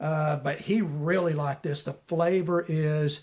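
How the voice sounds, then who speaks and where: A man speaks with a Southern US accent at a high pitch. His intonation stays fairly even. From US South. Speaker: knife reviewer YouTuber. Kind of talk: casual vlog chat and beer review. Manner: casual, filler-heavy.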